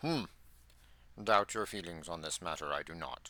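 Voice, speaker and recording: A man speaks in a put-on character voice pitched very deep and low. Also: moderate pace. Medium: read story. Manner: inverted word order, slow, wise; ponderous humming "Hmm".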